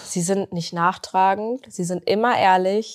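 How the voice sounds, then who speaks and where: The recording is very clean, its background silent. Speech comes at a very slow pace. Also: woman. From East Westphalia, Germany (Bünde). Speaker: pet influencer. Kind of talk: casual interview. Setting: studio.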